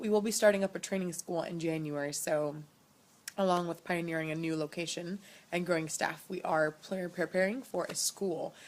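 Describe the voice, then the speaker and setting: A woman at a fairly low pitch with fairly even intonation. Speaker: missionary. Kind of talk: video update to supporters. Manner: fast; hesitant, many fillers.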